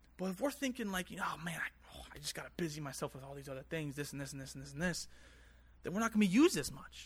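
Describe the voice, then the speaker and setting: Speaking very fast, a man uses a fairly high pitch with vocal fry. His intonation is lively and his loudness swings widely. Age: 20s. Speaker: preacher. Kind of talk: sermon. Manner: earnest.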